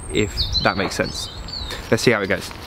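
A man is heard in a dry recording with no echo and noticeable background noise. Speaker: pool renovator vlogger. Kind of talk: casual vlog chat. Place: garden.

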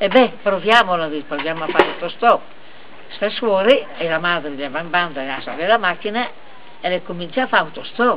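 A woman with a Lombard accent at a fairly quick pace, long, frequent pauses, and noticeable background noise. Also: lively intonation. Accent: Brescian dialect. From Brescia, Italy. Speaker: family storyteller. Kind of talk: joke telling. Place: garden. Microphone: camera far.

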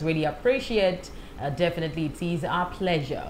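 A woman with a fairly low pitch speaks over light background noise. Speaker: radio presenter. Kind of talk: broadcast show introduction. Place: studio.

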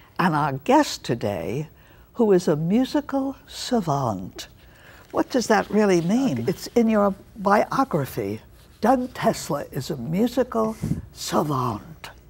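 A woman's very slow, fry-laden voice with very wide pitch swings. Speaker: talk show host. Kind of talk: TV interview hosting. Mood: warm, friendly, smiling. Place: studio.

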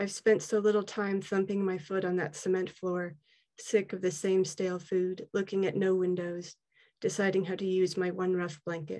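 Against a quiet background, a woman speaks in a dark, mellow tone with monotone, flat intonation. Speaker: poet. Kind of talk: reading aloud. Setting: video call. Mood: earnest, reflective. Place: home room. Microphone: video call.

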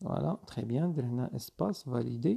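The speaker has a Moroccan accent and talks at a moderate pace. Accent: Moroccan Arabic with French code-switching. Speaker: video editing instructor. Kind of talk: screen-recorded tutorial.

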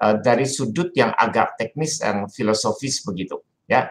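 Fairly slow pace with lively intonation. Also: man. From Indonesia. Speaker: Jesuit priest lecturer; priest giving an online lecture. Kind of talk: lecture. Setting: video call. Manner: animated. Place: home room. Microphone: video call.

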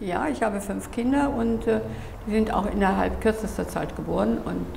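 Heard with audible room echo and light background noise, a woman speaks at a moderate pace with long, frequent pauses. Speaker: gallery owner. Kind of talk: interview answer. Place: home room.

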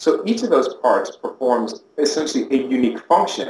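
Fairly quick pace from a man, audible room echo, light background noise underneath. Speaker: interviewee. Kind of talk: interview answer. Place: office.

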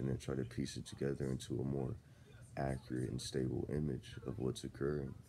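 Over light background noise, a man with a very deep, low pitch speaks at a moderate pace, monotone and flat, with vocal fry. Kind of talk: casual vlog rant. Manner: slow, drowsy just-woke-up speech. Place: home room. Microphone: phone near.

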